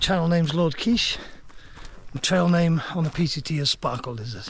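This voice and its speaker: A man with a Welsh accent, high in pitch with ordinary variation, against noticeable background noise. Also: moderate pace. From Wales. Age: 50s. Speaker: long-distance hiker vlogger. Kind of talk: vlog narration. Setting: outdoors on a hiking trail.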